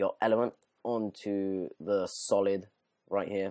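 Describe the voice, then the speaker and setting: Here a man speaks at a very slow pace. His voice is fairly low in pitch with a dark, mellow tone. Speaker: video editing tutorial youtuber. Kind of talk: tutorial. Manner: casual, halting with fillers.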